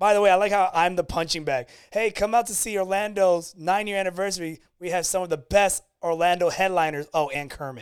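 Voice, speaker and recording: On a very clean recording with a silent background, a high-pitched man speaks with ordinary pitch variation. He goes at a fairly quick pace with hardly any pauses. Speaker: podcast host. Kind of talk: casual banter.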